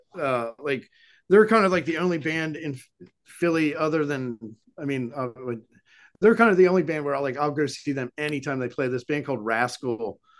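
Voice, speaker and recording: A man with an American accent speaks at a moderate pace in an unremarkable speaking voice, his fairly high pitch carrying lively intonation over a quiet background. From southeastern Pennsylvania. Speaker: musician. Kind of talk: casual interview.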